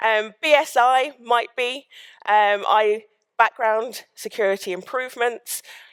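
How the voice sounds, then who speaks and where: Using a normal speaking voice, a woman talks fairly slowly in a fairly high pitch with fairly even intonation. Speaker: sales engineer, conference speaker. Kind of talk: conference talk. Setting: stage with audience.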